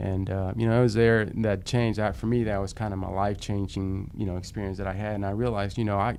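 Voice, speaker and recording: Audible room echo surrounds a man with a fairly low pitch who speaks in a flat monotone at a very fast pace, hardly pausing at all. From Dallas, Texas (Oak Cliff). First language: Spanish. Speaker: prosecutor and judicial candidate. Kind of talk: interview. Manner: halting, many fillers.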